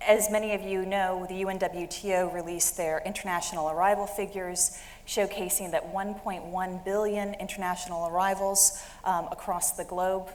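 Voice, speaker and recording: Audible room echo surrounds a woman with an American accent who speaks at a moderate pace and medium pitch with monotone, flat intonation. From United States. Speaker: industry analyst, managing director. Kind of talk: conference presentation.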